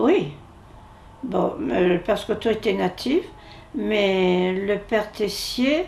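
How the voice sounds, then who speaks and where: With lively intonation, a woman speaks at a very slow pace. Her pitch sits in the medium range. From Algeria (Algiers, Bab El Oued). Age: 80s+. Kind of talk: interview testimony. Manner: halting.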